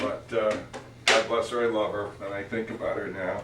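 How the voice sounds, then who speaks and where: A man speaks over noticeable background noise, with audible room echo around him. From Northern California, Oakland. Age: 80s+. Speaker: family elder telling family history. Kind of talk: casual family storytelling. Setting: office, filmed for family. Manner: halting, many fillers.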